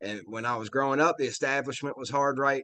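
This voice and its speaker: A man with a Virginia accent, medium pitch, a bright, sharp tone and a fairly quick pace. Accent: Virginia Southern. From Virginia, US South. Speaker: interview guest. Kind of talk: casual interview chat. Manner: animated.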